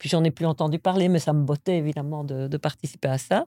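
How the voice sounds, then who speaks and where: Ordinary pitch variation runs through speech that carries a dark, mellow tone. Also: woman. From Belgium (moved from the US at 6). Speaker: university maths professor. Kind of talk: interview.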